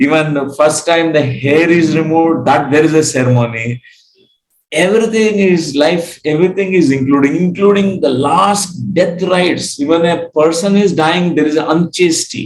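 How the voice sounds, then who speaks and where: Speaking with a Telugu accent, a man with a fairly high pitch talks at a moderate pace with very even loudness and ordinary pitch variation. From India, Andhra Pradesh. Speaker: spiritual teacher. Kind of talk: lecture. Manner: halting, frequent fillers.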